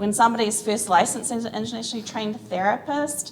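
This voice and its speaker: A woman with a New Zealand accent, ordinary pitch variation, and audible room echo. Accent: New Zealand, noticeable. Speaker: physical therapist, conference panelist. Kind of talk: conference panel talk.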